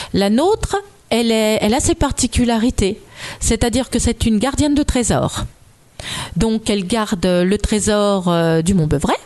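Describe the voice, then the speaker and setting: The woman's pitch sits fairly high and her intonation is lively. She talks at a fairly slow pace with long, frequent pauses. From Côte-d'Or, Burgundy. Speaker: author of legend collections. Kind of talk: interview, storytelling.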